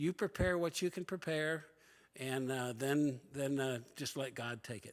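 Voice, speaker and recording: Recorded very cleanly against a silent background, a man with a fairly high pitch speaks at a fairly slow pace in an ordinary speaking voice. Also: ordinary pitch variation. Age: 60s. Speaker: church member and former missionary. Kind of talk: personal testimony to church class.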